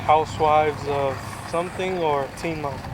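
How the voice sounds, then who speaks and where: A fairly high-pitched man amid noticeable background noise and audible room echo. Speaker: vlogger. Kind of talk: casual chat.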